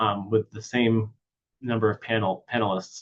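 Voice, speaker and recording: At a moderate pace, a man speaks in an ordinary speaking voice at a medium pitch. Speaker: neuropsychologist giving a webinar talk. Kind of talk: webinar lecture.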